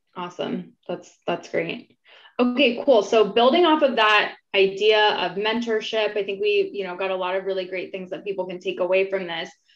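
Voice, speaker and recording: Over background music, a woman talks at a moderate pace with ordinary pitch variation and big swings in loudness. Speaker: company vice president, panel moderator. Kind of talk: moderated panel discussion. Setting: video call live stream. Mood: warm, upbeat. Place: home room. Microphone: video call.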